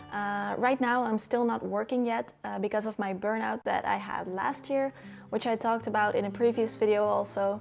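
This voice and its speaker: A woman with a Dutch accent, ordinary pitch variation and a moderate pace. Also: fairly high pitch for a woman. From Netherlands. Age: 20s. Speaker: lifestyle YouTuber. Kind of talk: casual Q&A vlog.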